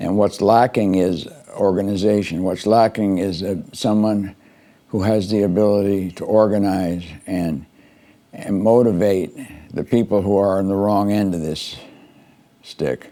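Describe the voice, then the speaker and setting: A man speaks at a fairly slow pace with long, frequent pauses and fairly even intonation. His voice is fairly low in pitch with a dark, mellow tone. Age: 80s+. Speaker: political commentary podcaster. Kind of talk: monologue commentary. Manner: halting, frequent repetitions and fillers; rambling stream of consciousness.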